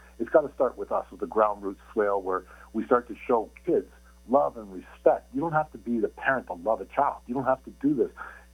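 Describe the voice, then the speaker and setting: This man's fairly quick speech is set against music in the background. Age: 60s. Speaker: football player. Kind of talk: interview. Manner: animated.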